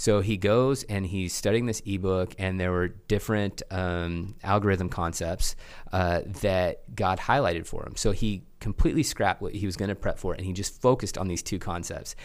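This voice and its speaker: Speaking with a slight Oklahoma accent, a man uses a fairly low pitch and ordinary pitch variation at a moderate pace. The recording is very clean, with a silent background. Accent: slight Oklahoma twang. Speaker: church tech school leader. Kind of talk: casual interview conversation.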